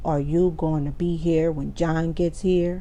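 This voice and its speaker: A put-on, growling character voice at a middle pitch moves at a moderate pace over clear background noise. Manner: snarling.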